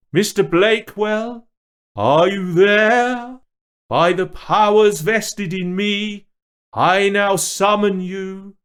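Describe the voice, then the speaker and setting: A put-on character voice is used here. It moves at a very slow pace. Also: man, high pitch for a man. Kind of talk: formal, archaic. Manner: pompous, theatrical.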